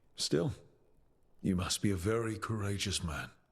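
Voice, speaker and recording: A man puts on a raspy character voice, fairly low in pitch, at a moderate pace. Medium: video game.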